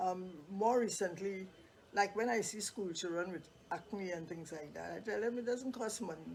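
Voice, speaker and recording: There is noticeable background noise. Through it, a woman's voice sits at a medium pitch. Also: ordinary pitch variation, moderate pace. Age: 80s+. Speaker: makeup artist. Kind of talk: casual chat.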